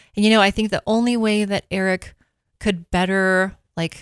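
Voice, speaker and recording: The voice moves at a moderate pace with fairly even intonation, recorded in a dry, close sound with no echo. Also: woman. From Minnesota. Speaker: dentist. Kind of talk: radio interview.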